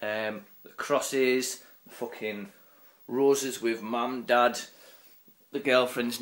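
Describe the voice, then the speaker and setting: A man with a northern English accent. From northern England. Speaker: vlogger. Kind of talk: angry profane rant. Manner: ranting, loud and sweary; mocking, sarcastic, putting on silly voices. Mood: irritated, mocking rant. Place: home room. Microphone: phone near.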